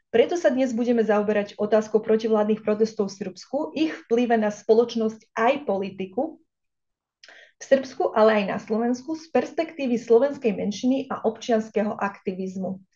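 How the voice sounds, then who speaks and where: Somewhat breathy, a woman speaks at a moderate pace in a fairly high pitch with a dark, mellow tone and ordinary pitch variation. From Vojvodina, Serbia (Slovak minority). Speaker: think tank director and researcher, seminar moderator. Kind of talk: seminar introduction. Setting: online event. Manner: formal.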